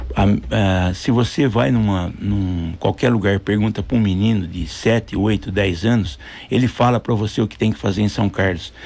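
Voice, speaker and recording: An ordinary speaking voice from a man at fairly low pitch, moderate in pace, with ordinary pitch variation and hardly any pauses. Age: 60s. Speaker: mayoral candidate. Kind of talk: radio interview.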